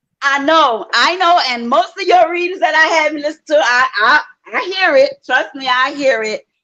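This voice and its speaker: In a Louisiana accent, a woman speaks at a moderate pace with a high pitch and lively intonation. Her voice is raised and projected, with a bright, sharp tone. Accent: Louisiana Southern US. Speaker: viewer joining a live stream, hotel cook. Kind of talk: casual chat.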